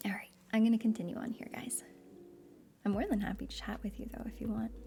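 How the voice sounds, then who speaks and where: Soft-spoken delivery at a very fast pace. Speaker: streamer reading aloud. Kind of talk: casual chat; reading aloud. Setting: live stream.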